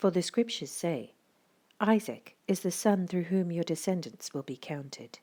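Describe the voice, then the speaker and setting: In a very clean recording with a silent background, a woman talks at a fairly slow pace. Her tone is dark and mellow and her pitch fairly low. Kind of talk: audio Bible reading, scripture narration.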